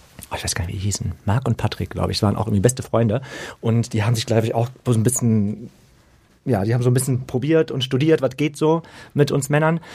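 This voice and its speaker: A man talks at a very fast pace with a dark, mellow tone and a somewhat breathy quality. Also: medium pitch for a man, ordinary pitch variation. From western Germany (Lower Rhine area). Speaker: podcast co-host. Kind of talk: casual chat.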